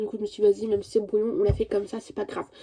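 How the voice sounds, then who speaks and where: A woman speaks at a very fast pace in a dark, mellow tone, with ordinary pitch variation. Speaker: vlogger. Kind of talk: casual chat. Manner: halting, stammering.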